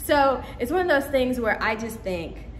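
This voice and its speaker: Lively in intonation, a woman with a fairly high pitch speaks at a moderate pace over noticeable background noise. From Caribbean. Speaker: vlogger. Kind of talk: casual vlog talk.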